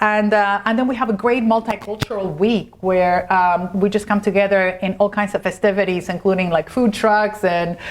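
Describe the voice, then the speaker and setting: In a Spanish accent, the voice moves with fairly even intonation, very even loudness and hardly any pauses. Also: woman, medium pitch for a woman, moderate pace. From Argentina. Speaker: corporate lawyer. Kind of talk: interview.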